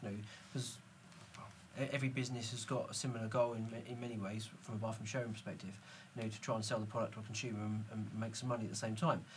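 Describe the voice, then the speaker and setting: A man of medium pitch, somewhat breathy, at a very fast pace. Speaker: podcast host. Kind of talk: casual panel interview.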